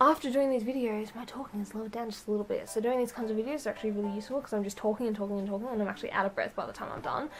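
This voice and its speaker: A woman's fairly high voice at a very fast pace, fairly even in intonation, over noticeable background noise. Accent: strong Australian country. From outback Australia. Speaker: vlogger. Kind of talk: casual monologue vlog. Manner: mumbled when fast.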